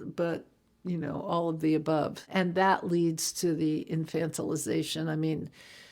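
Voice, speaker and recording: There is noticeable background noise as a woman with a fairly low pitch speaks at a moderate pace. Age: 70s. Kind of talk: interview.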